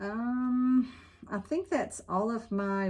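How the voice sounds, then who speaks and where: Somewhat breathy, this voice has ordinary pitch variation. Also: woman. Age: 60s. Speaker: cross-stitch hobbyist vlogger. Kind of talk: casual chat.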